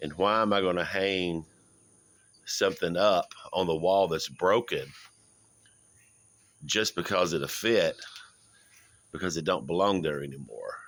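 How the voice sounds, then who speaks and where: In a very clean recording with a silent background, a man with a very deep, low pitch talks at a fairly slow pace, leaving long, frequent pauses. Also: ordinary pitch variation. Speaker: lay preacher. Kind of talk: devotional talk. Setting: outdoors on porch.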